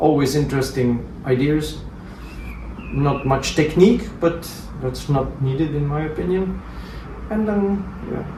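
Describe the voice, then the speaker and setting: A man with a fairly high pitch speaks at a fairly slow pace with ordinary pitch variation and long, frequent pauses. There is noticeable background noise and audible room echo. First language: Flemish and Romanes. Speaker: jazz musician. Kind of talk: interview. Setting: at a private home.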